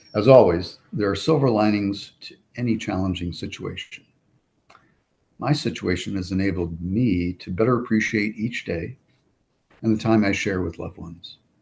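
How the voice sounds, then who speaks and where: A man with a fairly low pitch talks at a moderate pace, somewhat breathy. His pitch varies in an ordinary way while his loudness swings widely. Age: 60s. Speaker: cancer patient. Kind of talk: testimony. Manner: formal.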